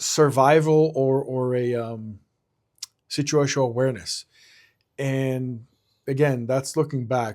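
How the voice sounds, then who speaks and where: Speaking at a fairly slow pace with long, frequent pauses, a man with an Israeli accent uses a medium pitch and fairly even intonation. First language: Hebrew. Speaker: security consultant. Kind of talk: interview. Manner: halting, many fillers and repeats.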